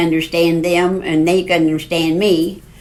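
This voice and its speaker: The voice moves at a moderate pace in a flat monotone, with noticeable background noise behind it. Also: woman. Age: 80s+. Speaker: grandmother on national parks road trip. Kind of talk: podcast interview, storytelling.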